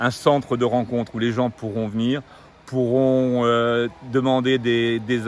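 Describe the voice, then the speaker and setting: At medium pitch, a man talks with monotone, flat intonation. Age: 60s. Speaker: retired executive, local election candidate. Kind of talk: interview.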